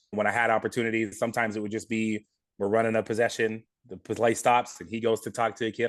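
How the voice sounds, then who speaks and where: With an American accent, a man talks at a very fast pace and medium pitch. The background is quiet. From California, Monterey County. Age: 30s. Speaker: high school basketball coach. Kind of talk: podcast interview.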